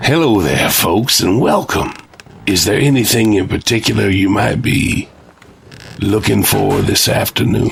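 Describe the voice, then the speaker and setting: A man puts on a raspy character voice with a fairly low pitch and lively intonation. He keeps a moderate pace at very even loudness. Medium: audio drama. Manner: folksy, drawling, insinuating.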